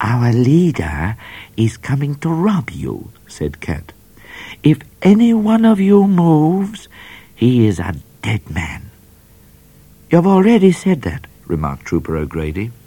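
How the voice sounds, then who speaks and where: This man has a fairly high pitch, a dark, mellow tone and a warm, serious tone, somewhat breathy, with very wide pitch swings. He talks at a fairly slow pace, with long, frequent pauses. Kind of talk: children's audiobook reading aloud. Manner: animated, playful storyteller who voices characters with menace and comic flair; warm, wry and slightly mock-serious, with dramatic pacing.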